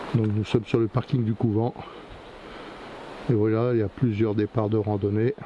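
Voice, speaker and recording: A man's fairly low, flat, monotone voice at a moderate pace, broken by long, frequent pauses. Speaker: hiking vlogger. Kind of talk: walking vlog narration. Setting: outdoors on a forest trail. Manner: halting, repeats words.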